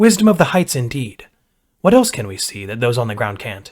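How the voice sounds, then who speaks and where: In a put-on character voice, a man talks at a fairly quick pace with a medium pitch. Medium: read story. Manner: upbeat, casual.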